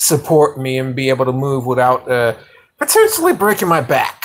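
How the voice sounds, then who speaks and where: A man talks with a New York accent. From New York (Yonkers). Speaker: livestreamer, motorcycle hobbyist. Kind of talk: casual live stream chat. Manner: halting, many fillers.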